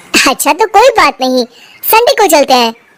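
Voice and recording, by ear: In a squeaky, cartoonish character voice, a woman speaks at a moderate pace with a high pitch and very wide pitch swings.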